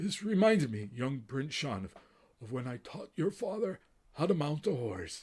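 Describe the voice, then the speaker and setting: Putting on a character voice, a man speaks at a moderate pace in a raspy, fairly high pitch with very wide pitch swings. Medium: read story. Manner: slow, gentle, formal.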